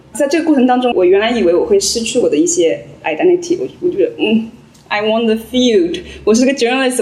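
With a high pitch, a woman speaks in very wide pitch swings, with noticeable background noise and audible room echo. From rural China. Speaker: journalist. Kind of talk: live panel discussion. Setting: stage with audience.

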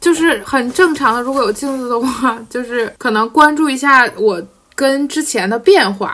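A woman with lively intonation. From Jilin, Northeast China. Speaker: podcast guest. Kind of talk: casual chat.

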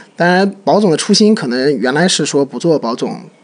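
Talking at a fairly quick pace, this man has a plain, everyday voice pitched fairly high. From Shanghai. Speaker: podcast co-host. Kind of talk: casual chat.

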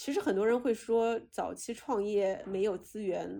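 The voice is a woman's, pitched at a medium level. Its pitch varies in an ordinary way. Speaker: podcast host. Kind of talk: casual interview. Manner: intense, fiery.

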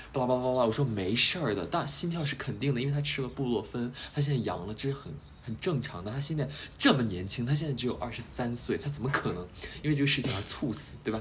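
In a room with audible echo, a man talks very fast at a medium pitch with ordinary pitch variation. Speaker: podcast host. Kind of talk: casual chat.

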